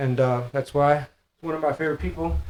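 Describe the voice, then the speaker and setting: In an American accent, a man with an ordinary speaking voice and a fairly high pitch talks at a fairly quick pace with ordinary pitch variation. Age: 40s. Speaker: podcast host. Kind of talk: casual interview chat.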